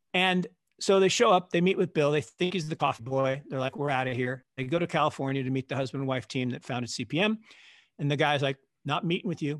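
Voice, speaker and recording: A man with an American accent uses an ordinary speaking voice at a fairly high pitch and fairly quick pace, with ordinary pitch variation, in a dry, close sound with no echo and a quiet background. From US Pacific Northwest, Seattle. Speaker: investment fund manager. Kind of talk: interview conversation.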